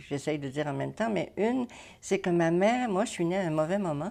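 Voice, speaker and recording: With lively intonation, a woman speaks in a dark, mellow tone at a fairly low pitch. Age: 90s. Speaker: retired family therapist and social worker. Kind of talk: interview. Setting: at her home.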